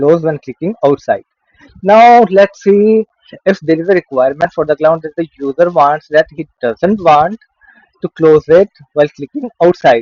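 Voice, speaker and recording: This man has a fairly high voice with ordinary pitch variation and speaks at a moderate pace. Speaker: software tutorial creator. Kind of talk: tutorial. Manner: hesitant with fillers.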